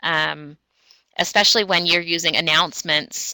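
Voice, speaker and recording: A woman speaks at a very deep, low pitch with a bright, sharp tone. Her intonation is fairly even, and the sound is dry and close with no echo. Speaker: educational technology trainer. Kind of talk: webinar presentation. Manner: fast.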